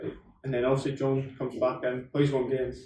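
A man with an Edinburgh accent talks at a fairly quick pace with a medium pitch. His tone is dark and mellow, and somewhat breathy. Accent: Scottish (Edinburgh). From Scotland, Edinburgh. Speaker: professional footballer. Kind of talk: casual chat.

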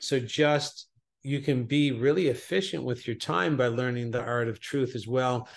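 A man talks at a moderate pace in a plain, everyday voice, his medium pitch varying in an ordinary way. The background is quiet. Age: 50s. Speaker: self-sabotage coach. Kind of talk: interview.

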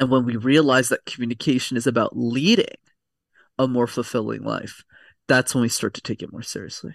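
A man's fairly quick speech in a Canadian accent, with vocal fry and fairly even intonation, against a quiet background. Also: medium pitch for a man, dry, close sound with no echo. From Quebec, Montreal. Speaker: communication coach. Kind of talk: casual interview.

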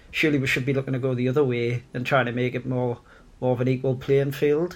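A man with an ordinary speaking voice talks at a fairly quick pace and a medium pitch, with fairly even intonation. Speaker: guest, football fan. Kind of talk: casual banter, football podcast.

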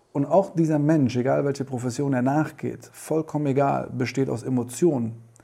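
The pace is moderate, with hardly any pauses and fairly even intonation. Noticeable background noise is present. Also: man, medium pitch for a man. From Germany, Düsseldorf, Italian family. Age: 40s. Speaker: photographer and filmmaker. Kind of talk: interview.

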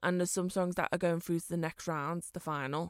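A woman speaks at a fairly quick pace and medium pitch with a Liverpool accent. The recording is very clean with a silent background and a dry, close sound with no echo. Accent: Scouse. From Liverpool, England. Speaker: podcast co-host. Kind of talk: casual chat.

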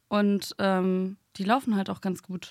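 The speaker is female. Her recording is very clean, and the background is silent. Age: 20s. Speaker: journalist and video creator. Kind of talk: casual chat.

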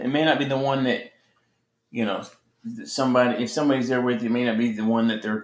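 Medium pitch from a man, the intonation fairly even throughout. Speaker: ministry podcast co-host. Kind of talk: sermon.

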